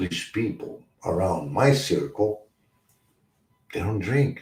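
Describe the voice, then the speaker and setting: A man speaking at a very slow pace. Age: 60s. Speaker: recovery talk show host. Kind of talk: livestream talk on addiction recovery. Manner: halting, repetitive.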